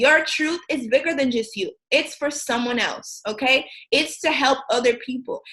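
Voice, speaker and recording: A woman with an American accent speaks at a moderate pace in a raised, projected voice, her high pitch carrying a bright, sharp tone and ordinary pitch variation. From US Midwest, Racine, Wisconsin. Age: 20s. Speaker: motivational speaker. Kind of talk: motivational talk. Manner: hesitant with frequent ums.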